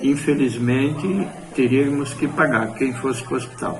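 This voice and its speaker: A man's fairly high voice at a fairly slow pace, fairly even in intonation, with audible room echo and music in the background. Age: 60s. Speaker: retired farmer, interviewee. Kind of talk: interview testimony.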